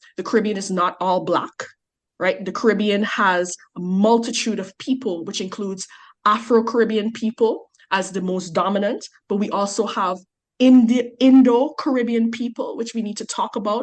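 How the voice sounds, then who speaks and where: With a fairly high pitch and normal pitch variation, a woman talks at a moderate pace. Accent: Guyanese. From Guyana. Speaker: researcher on migration. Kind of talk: podcast interview.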